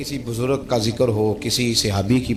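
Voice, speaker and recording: With background music playing, a man talks at a medium pitch. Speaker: Islamic scholar / preacher. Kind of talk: Islamic sermon (bayan) with storytelling. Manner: emotive, preaching, conversational.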